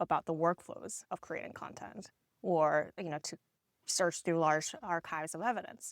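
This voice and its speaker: In a Korean accent, a woman speaks at a moderate pace with fairly low pitch, recorded very cleanly with a silent background and a dry, close sound with no echo. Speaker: tech company co-founder. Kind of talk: podcast interview. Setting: live at a tech conference.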